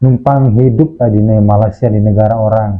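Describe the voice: A moderate pace paired with fairly even intonation. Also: man.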